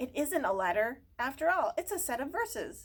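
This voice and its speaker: In a put-on character voice, a woman speaks at a high pitch and a moderate pace, with very wide pitch swings. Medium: read story. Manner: respectful, hurried.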